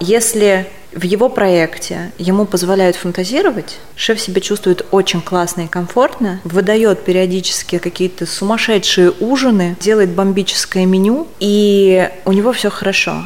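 A woman's medium-pitched voice at a fairly slow pace and very even loudness, with noticeable background noise. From Russia, Kazan and Krasnodar region. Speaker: executive director of a chefs' association. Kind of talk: casual interview chat. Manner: animated.

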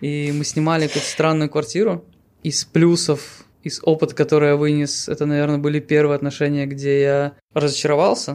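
A man with a normal speaking voice, fairly high pitch, fairly even intonation and a moderate pace. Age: 30s. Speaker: podcast co-host. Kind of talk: casual chat.

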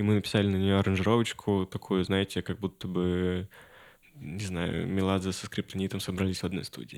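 A man's very deep, low voice at a fairly quick pace, with fairly even intonation, in a very clean recording with a silent background. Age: 20s. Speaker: musician. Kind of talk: casual chat. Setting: studio.

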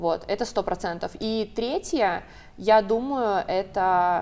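The woman speaks at a very slow pace with ordinary pitch variation. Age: 20s. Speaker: psychologist-sexologist. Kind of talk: talk-show discussion.

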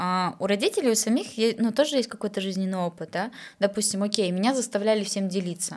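Her normal speaking voice sits at medium pitch for a woman, with ordinary pitch variation. She talks at a fairly quick pace. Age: 30s. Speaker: psychologist and sexologist, podcast host. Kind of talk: casual chat.

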